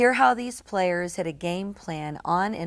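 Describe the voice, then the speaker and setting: Speaking at a fairly slow pace, a woman has an unremarkable speaking voice with a fairly low pitch. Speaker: TV program host. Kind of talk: TV show introduction.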